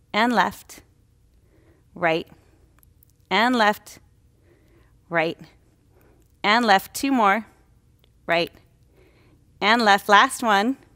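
A woman's bright, sharp voice at a very slow pace, with ordinary pitch variation, long, frequent pauses, and a quiet background. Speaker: yoga instructor. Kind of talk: guided exercise instruction.

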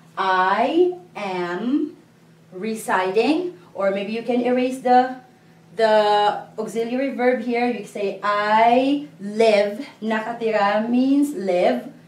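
Audible room echo surrounds a woman's fairly high pitch. She speaks at a very slow pace. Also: ordinary pitch variation. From Philippines. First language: Filipino. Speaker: language teacher. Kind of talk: lesson tutorial. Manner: slow, clear. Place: classroom. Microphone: camera far.

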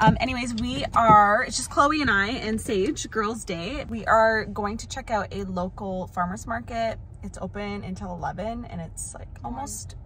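A woman speaks at a fairly slow pace with big swings in loudness, the sound dry with no echo amid noticeable background noise. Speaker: family vlogger. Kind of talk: casual vlog chat. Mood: cheerful, chatty. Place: car. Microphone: phone near.

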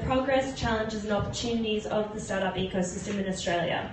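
Her pitch is fairly high, with ordinary pitch variation. The woman's voice carries audible room echo over noticeable background noise. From Australia. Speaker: startup survey CEO. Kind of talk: pitch presentation. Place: bar. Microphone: pa.

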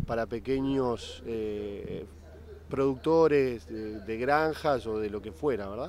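At a fairly slow pace, a man talks in a slightly mellow tone.

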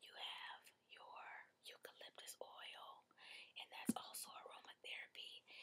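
Whispered speech from a woman, fairly slow in pace. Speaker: ASMR creator. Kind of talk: ASMR relaxation session. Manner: soft-spoken. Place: home room. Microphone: webcam.

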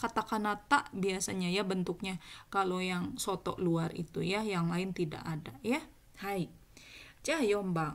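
A woman with an unremarkable speaking voice at medium pitch, lively intonation and a fairly slow pace, on a very clean recording with a silent background. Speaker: Japanese language teacher. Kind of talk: tutorial.

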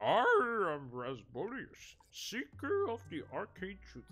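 At a fairly slow pace, the speaker uses a put-on character voice at a middle pitch. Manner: pompous, villainous.

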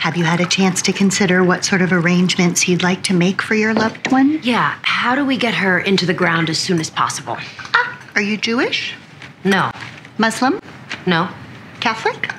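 Over noticeable background noise, a woman talks at a moderate pace with ordinary pitch variation and very even loudness. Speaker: funeral home salesperson. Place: home room.

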